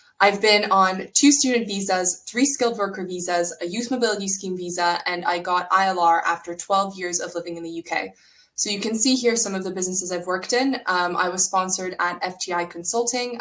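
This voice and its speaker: Over noticeable background noise, a woman with a Canadian accent speaks at a fairly quick pace in a medium pitch with ordinary pitch variation and hardly any pauses. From Canada. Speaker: startup co-founder and career coach. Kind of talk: online workshop presentation.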